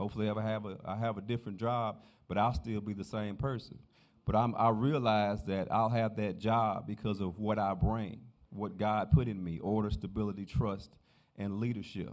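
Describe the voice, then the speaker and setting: With audible room echo, a man of fairly low pitch speaks at a moderate pace and with fairly even intonation. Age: 50s. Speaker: sheriff candidate. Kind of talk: campaign speech in church.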